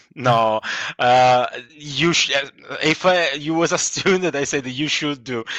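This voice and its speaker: With an Italian accent, a man speaks at a fairly slow pace, his fairly high pitch showing ordinary variation. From Italy. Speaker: comic book illustrator. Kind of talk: interview. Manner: halting, many false starts.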